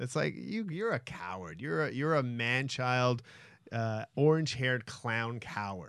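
Here a man talks in an ordinary speaking voice at a medium pitch. His pace is fairly slow and his intonation lively. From Winnipeg, Canada. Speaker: sports talk co-host. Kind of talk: casual chat. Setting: studio.

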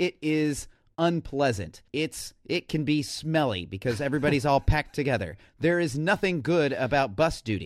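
A man with a fairly high pitch talks at a moderate pace with lively intonation in a plain, everyday voice. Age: middle-aged. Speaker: teacher and podcast co-host. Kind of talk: casual chat. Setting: remote recording across the country.

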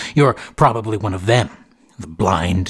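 A man at a fairly low pitch, somewhat breathy, with an intense, theatrical tone and a moderate pace. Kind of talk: carnival barker patter, then first-person scripted fiction narration. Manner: booming showman's patter, theatrical and ominous, with mock-grand menace; paranoid, intense, snapping irritably at Gary in the story.

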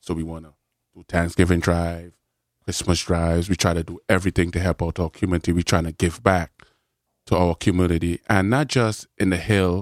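Over a very clean recording with a silent background and a dry, close sound with no echo, a man speaks at a very deep, low pitch and a fairly quick pace, with fairly even intonation and big swings in loudness. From Trinidad. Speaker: community organizer. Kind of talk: casual interview.

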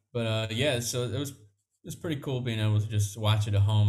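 Recorded very cleanly over a silent background, a man with a somewhat breathy voice speaks at medium pitch and a fairly quick pace. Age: 20s. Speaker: podcast host. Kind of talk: casual chat.

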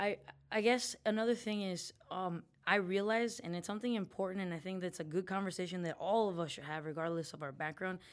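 With an American accent, a woman uses a plain, everyday voice at medium pitch, speaking at a fairly quick pace with ordinary pitch variation in a very clean recording with a silent background. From Mexican American, US. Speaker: diversity advocate and city commission member. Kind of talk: casual interview conversation.

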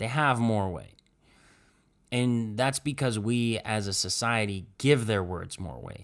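Heard on a very clean recording with a silent background, a man with a plain, everyday voice and an American accent speaks at a medium pitch and fairly slow pace, with ordinary pitch variation and big swings in loudness. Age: 20s. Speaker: podcast host. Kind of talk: casual chat.

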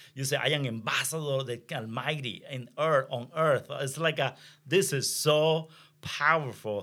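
Bright and sharp in tone, a man with a Venezuelan accent talks at a moderate pace and medium pitch with ordinary pitch variation, on a very clean recording with a silent background. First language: Spanish. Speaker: pastor. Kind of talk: testimony. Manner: halting.

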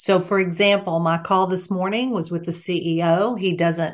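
Against a quiet background, a woman talks at a moderate pace. She has a normal speaking voice with a medium pitch. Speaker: executive coach and trainer. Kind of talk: casual interview chat.

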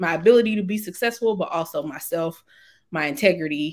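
In an ordinary speaking voice with an American accent, a woman speaks at a fairly low pitch and moderate pace with ordinary pitch variation, in a very clean recording with a silent background. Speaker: lobbyist. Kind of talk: interview.

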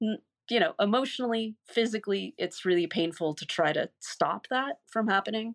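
An unremarkable speaking voice belongs to this woman, pitched fairly high with lively intonation at a moderate pace. The recording is very clean with a silent background and a dry, close sound with no echo. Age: 50s. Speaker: ex-cult member and massage therapist. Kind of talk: interview, personal testimony.

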